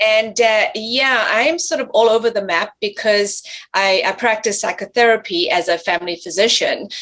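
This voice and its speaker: This woman talks at a moderate pace. Her pitch is fairly high and her intonation is lively. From South Africa, then Canada. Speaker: family physician and theologian. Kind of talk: panel discussion interview. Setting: video call.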